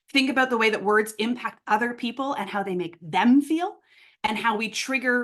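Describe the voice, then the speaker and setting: A woman's animated tone with lively intonation. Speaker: workshop facilitator. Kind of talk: online workshop instruction. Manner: fast.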